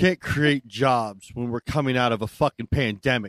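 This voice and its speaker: An American-accented man with an unremarkable speaking voice talks at a medium pitch and moderate pace with ordinary pitch variation. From Maryland, US. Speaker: podcast co-host. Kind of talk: casual chat.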